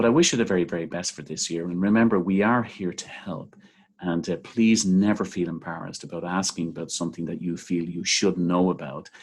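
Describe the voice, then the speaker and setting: A man with a very deep, low voice and an Irish accent, ordinary pitch variation, at a fairly quick pace. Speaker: seminary teacher trainer. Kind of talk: training video talk. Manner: relaxed, with frequent fillers.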